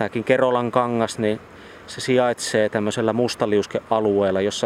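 A man speaks at a moderate pace with fairly even intonation and a fairly low pitch. He has a normal speaking voice. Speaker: regional environmental expert. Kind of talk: interview. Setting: outdoors by flowing water.

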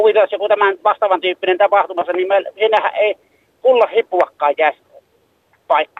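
A man with a high pitch, ordinary pitch variation and a moderate pace, broken by long, frequent pauses. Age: 60s. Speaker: caller. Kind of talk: phone-in call. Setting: phone call.

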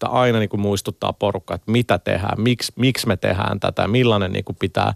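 A man with a fairly low voice and vocal fry talks very fast with fairly even intonation. The recording is very clean with a silent background, dry and close with no echo. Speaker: game company communications director. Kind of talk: radio interview. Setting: studio. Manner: halting, many repetitions and fillers.

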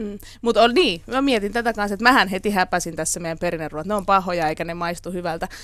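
Talking at a very fast pace, a woman of medium pitch shows ordinary pitch variation. The recording is very clean, with a silent background. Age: 40s. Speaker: radio host. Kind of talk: casual chat.

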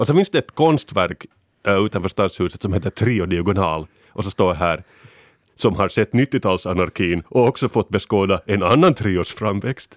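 On a very clean recording with a silent background and a dry, close sound with no echo, a man speaks at a fairly low pitch with ordinary pitch variation. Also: moderate pace. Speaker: podcast panelist. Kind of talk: casual chat. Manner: animated.

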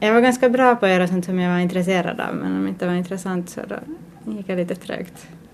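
Very fast speech from a woman at medium pitch, ordinary pitch variation, and noticeable background noise behind her. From Finland, Ostrobothnia (Pedersöre). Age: 30s. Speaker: artist. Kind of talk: interview.

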